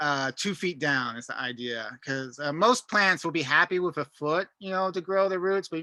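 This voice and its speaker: Male voice, bright and sharp in tone, with ordinary pitch variation and a fairly quick pace, in a dry, close sound with no echo and a quiet background. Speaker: gardening instructor. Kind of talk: online class lecture. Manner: halting, many fillers; casual.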